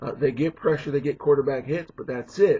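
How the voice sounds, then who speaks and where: The man's voice is fairly high and somewhat breathy. He talks at a fairly quick pace. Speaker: sports commentator. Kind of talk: casual talk to camera.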